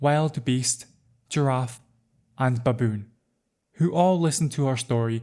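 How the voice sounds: With ordinary pitch variation, a natural voice reads aloud over a quiet background.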